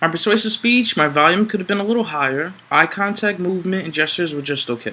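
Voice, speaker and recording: Bright and sharp in tone, the speech moves at a very fast pace with lively intonation. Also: man, high pitch for a man. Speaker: public speaking student. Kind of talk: interview.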